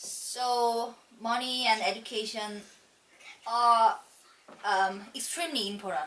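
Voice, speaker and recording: A woman with a Korean accent and fairly high pitch, at a very slow pace with long, frequent pauses, ordinary pitch variation and audible room echo. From South Korea. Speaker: immigrant homemaker. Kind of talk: mock speaking exam answers. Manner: halting.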